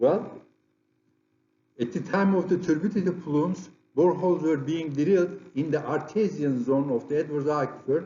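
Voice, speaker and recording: A man's fairly high voice with a strong Turkish accent, moderate pace, ordinary pitch variation, long and frequent pauses, and audible room echo. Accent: heavy Turkish. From Turkey. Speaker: geophysicist, conference presenter. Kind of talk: lecture. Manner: halting, with frequent repetitions and fillers.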